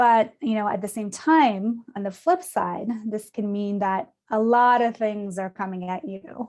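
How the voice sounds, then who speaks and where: Her pitch fairly high, a woman talks at a fairly slow pace with hardly any pauses. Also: ordinary pitch variation. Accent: non-native. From Canada. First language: not English. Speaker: design operations leader. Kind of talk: conference presentation.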